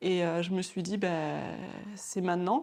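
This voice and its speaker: The speaker is a woman with a medium pitch. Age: 30s. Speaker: former pharmacy assistant turned nail technician. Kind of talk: interview. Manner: halting, many hesitations.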